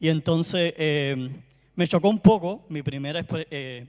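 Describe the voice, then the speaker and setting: A man's voice with a strong Cuban accent. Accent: Caribbean Cuban Spanish, strong. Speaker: performance tester, conference speaker. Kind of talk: conference talk.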